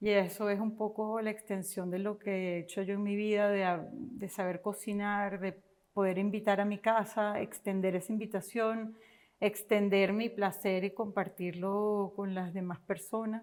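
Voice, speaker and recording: A woman in a Venezuelan accent, medium in pitch, monotone and flat, at a fairly slow pace. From Venezuela, Caracas. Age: 50s. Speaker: entrepreneur. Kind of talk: interview.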